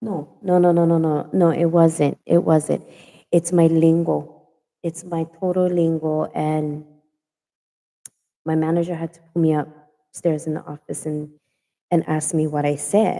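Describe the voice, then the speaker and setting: Her voice is fairly low and monotone, with flat intonation, as this woman speaks at a fairly slow pace with long, frequent pauses. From Hawaii. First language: Hawaiian Pidgin. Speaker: online talk show host. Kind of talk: casual chat. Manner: straightforward.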